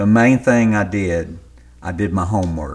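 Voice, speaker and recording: A man with a Southern US accent speaks at a very slow pace in a very deep, low voice with lively intonation. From US South, western Louisiana. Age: 60s. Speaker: novelist. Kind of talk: interview.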